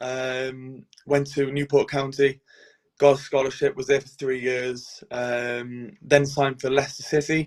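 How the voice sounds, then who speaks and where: A man with a strong Welsh accent speaks fairly slowly at a medium pitch. His intonation is flat and monotone. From Wales, Cardiff. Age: 20s. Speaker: professional goalkeeper. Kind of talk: podcast interview.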